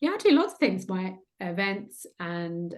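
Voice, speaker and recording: Over a quiet background, a woman with a British accent speaks at a medium pitch. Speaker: trauma transformation coach. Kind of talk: interview conversation. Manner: hesitant, filler words.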